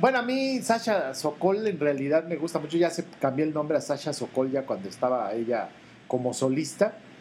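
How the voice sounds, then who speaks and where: The speaker has a Mexican accent and a moderate pace. Pitch swings are very wide, and there is noticeable background noise. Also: man, fairly high pitch for a man. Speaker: podcast co-host. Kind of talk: casual chat.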